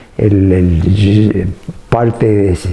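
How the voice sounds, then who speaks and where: Noticeable noise fills the background. Over it, a man talks. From Argentina, Rafaela area (Santa Fe). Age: 80s+. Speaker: retired dairy company executive. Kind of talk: interview. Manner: halting, many fillers and repetitions.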